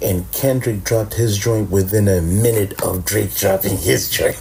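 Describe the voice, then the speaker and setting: The man's speech shows ordinary pitch variation. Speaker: podcast host. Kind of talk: casual chat. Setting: late-night home recording with co-host. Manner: low-key, laid back; animated.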